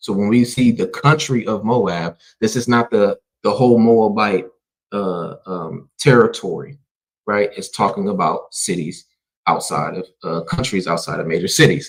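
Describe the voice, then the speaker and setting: A man's fairly low-pitched voice, a normal speaking voice, at a moderate pace with ordinary pitch variation. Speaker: Bible teacher. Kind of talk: Bible class live stream.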